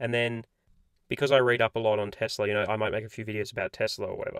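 Very fast and monotone, a man with an Australian accent speaks at medium pitch in a dry, close sound with no echo, on a very clean recording with a silent background. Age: 20s. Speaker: personal finance YouTuber. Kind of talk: casual vlog monologue. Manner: casual, filler-heavy.

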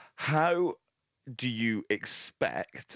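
A man is speaking. His pitch swings very widely. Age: 30s. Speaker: podcast host. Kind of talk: interview.

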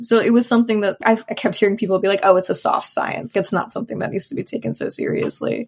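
A woman speaks at a very fast pace with hardly any pauses. Her fairly high voice carries vocal fry and ordinary pitch variation. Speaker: counseling student. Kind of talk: interview conversation.

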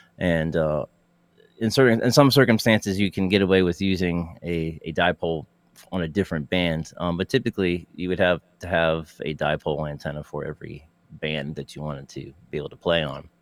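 With an American accent, a man speaks fairly quickly at a very deep, low pitch with ordinary pitch variation, in a dry, close sound with no echo. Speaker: ham radio co-host. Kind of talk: casual chat. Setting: studio.

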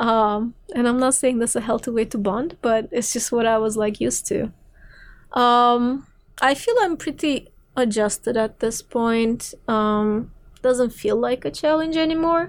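The speaker talks at a fairly slow pace in a Turkish accent. The loudness stays very even throughout. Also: woman, high pitch for a woman, ordinary pitch variation. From Turkey, Istanbul. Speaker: philosophy PhD candidate and film programmer. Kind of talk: interview conversation. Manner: frequent fillers, hesitant restarts.

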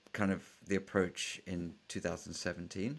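A man talks with a British accent. His pitch is fairly low. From England. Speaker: startup founder and venture capitalist. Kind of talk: interview.

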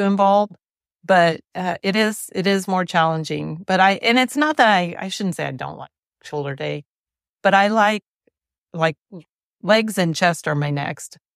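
A woman with an unremarkable speaking voice talks at a moderate pace and a fairly low pitch with ordinary pitch variation. The very clean recording has a silent background and a dry, close sound with no echo. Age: 60s. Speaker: fitness program member. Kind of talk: casual interview chat.

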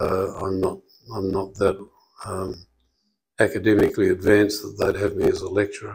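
A man in an Australian accent talks at a moderate pace, with long, frequent pauses. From Western Australia. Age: 70s. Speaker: dentist. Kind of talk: interview conversation. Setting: studio. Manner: halting.

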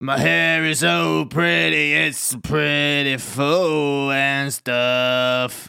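A loud, put-on character voice from a man, medium in pitch and very slow in pace. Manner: loud, boisterous.

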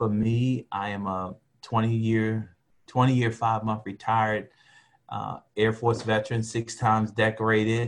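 The recording is very clean with a silent background as a man speaks at a medium pitch in a monotone, flat intonation with an American accent. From US, West Baltimore, Maryland. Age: 50s. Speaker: retired military officer and father. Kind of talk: casual interview.

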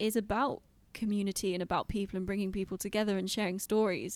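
A woman talks at a fairly quick pace in an unremarkable speaking voice, with medium pitch and fairly even intonation. The recording is very clean, with a silent background. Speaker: podcast host. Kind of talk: casual interview chat.

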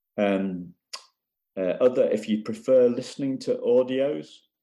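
Against a quiet background, a man with a British accent and a dark, mellow tone speaks at a fairly slow pace. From UK. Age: 50s. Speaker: coach for adoptees. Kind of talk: interview.

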